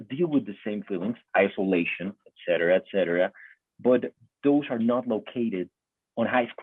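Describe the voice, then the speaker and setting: A man with a medium pitch and ordinary pitch variation keeps a moderate pace, broken by long, frequent pauses. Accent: Spanish. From Colombia. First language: Spanish. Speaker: interviewer. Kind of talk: interview. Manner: halting.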